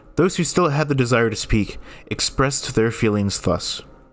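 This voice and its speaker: Music plays in the background as a man speaks at medium pitch. His pace is moderate and his intonation lively. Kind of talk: reading of public domain ghost stories.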